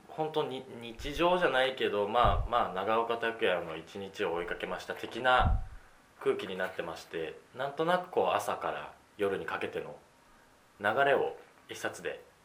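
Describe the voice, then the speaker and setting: A man's fairly slow speech with big swings in loudness and audible room echo. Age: 20s. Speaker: podcast host. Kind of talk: casual chat.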